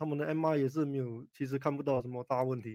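An ordinary speaking voice at a fairly quick pace. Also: man. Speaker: orthopaedic spine surgeon. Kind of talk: expert interview on radio call-in. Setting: radio studio with Facebook Live.

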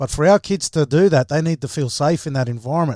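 Speaking with an Australian accent, a man talks at a fairly quick pace and a fairly high pitch. The recording is very clean with a silent background and a dry, close sound with no echo. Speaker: former rugby league player and coach. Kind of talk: panel discussion.

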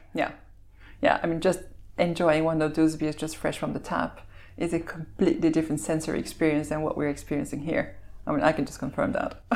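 With a Belgian accent, a woman talks at a very fast pace in a very deep, low pitch with fairly even intonation. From Belgium. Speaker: malting company executive. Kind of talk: interview. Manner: articulate.

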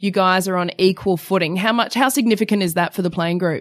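Speaking with an Australian accent, a woman uses a medium pitch. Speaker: sports TV presenter. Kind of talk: casual chat. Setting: studio.

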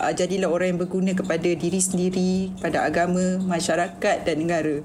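A woman's voice at a medium pitch comes through with audible room echo. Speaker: TV producer and director. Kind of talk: casual chat.

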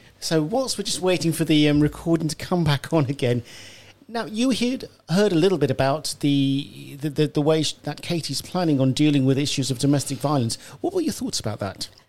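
A man talks at a fairly quick pace in a plain, everyday voice. His pitch is fairly high and his intonation lively. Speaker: radio host. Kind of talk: radio presenting and interviewing. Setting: radio studio.

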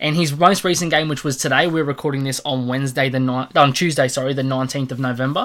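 With an Australian accent, a man with a fairly high pitch speaks very fast with hardly any pauses and fairly even intonation. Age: 20s. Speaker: sports podcast host. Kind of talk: casual chat.

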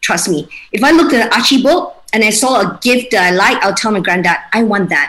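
Her voice swings very widely in pitch. The woman speaks fairly high and at a moderate speed. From Malaysia, Kuching (Sarawak). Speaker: home baker and mother. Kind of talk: casual interview.

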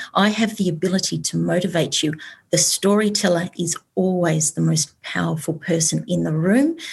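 The woman's Australian accent carries through speech at a moderate pace. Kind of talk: panel discussion.

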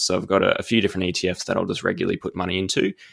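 A man's voice sounds dry and close with no echo in a very clean recording with a silent background. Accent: Australian. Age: 20s. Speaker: investment analyst. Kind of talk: casual interview.

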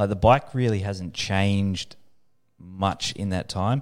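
Speaking fairly slowly, a man with a fairly low voice has an Australian accent. The recording is very clean, with a silent background. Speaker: motorcycle dealership sales manager. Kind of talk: casual chat. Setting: studio.

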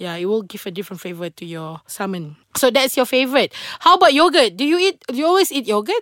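A woman speaks very fast in a high, animated voice with very wide pitch swings. Her loudness swings widely, and the sound is dry and close with no echo. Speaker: podcast host. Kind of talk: casual interview.

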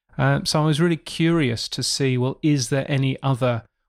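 Delivered at a moderate speed, an unremarkable speaking voice holds fairly even intonation. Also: man. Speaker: podcast industry news editor. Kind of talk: casual interview chat.

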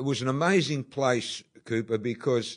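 Over a quiet background, a man with an Australian accent speaks at a moderate pace with ordinary pitch variation. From Australia, Sydney (Bondi). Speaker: documentary executive producer. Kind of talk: interview.

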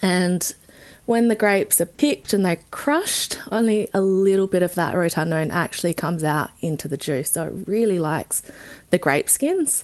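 A woman with an Australian accent, medium pitch, moderate pace and lively intonation. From South Australia, Barossa Valley. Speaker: wine research scientist. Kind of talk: interview. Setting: studio.

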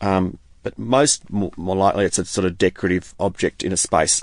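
A man's very deep, low voice with an Australian accent. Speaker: glass artist. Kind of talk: interview.

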